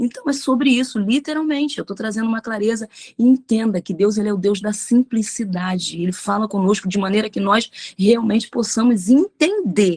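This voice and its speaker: A woman's fairly high, somewhat breathy voice with an animated tone and ordinary pitch variation, in a dry, close sound with no echo. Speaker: pastor. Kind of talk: bible study teaching.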